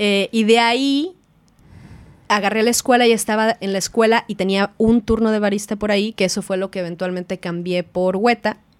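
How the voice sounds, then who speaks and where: In a Mexican accent, a woman with a fairly high pitch talks at a moderate pace with fairly even intonation, in a dry, close sound with no echo. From Mexico. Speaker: film producer. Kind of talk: casual chat.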